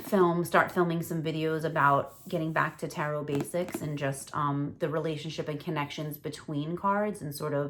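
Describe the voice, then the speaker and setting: A woman with a New York accent speaks in a very deep, low voice at a moderate pace, her intonation flat and monotone. She hardly pauses, and noticeable background noise is present. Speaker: tarot reader. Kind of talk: casual talk to camera. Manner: relaxed, rambling.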